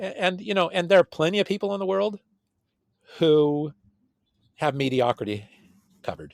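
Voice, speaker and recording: Speaking with an American accent, a man with a high pitch talks at a moderate pace with lively intonation and long, frequent pauses, in a dry, close sound with no echo. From California. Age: 60s. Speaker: computer science researcher. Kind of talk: interview conversation. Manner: halting, many repetitions.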